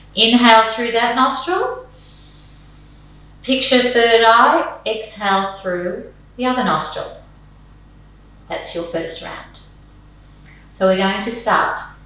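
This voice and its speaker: A woman speaks very slowly in a calm tone, with long, frequent pauses and lively intonation. Room echo is audible. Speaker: yoga and meditation teacher. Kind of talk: guided meditation.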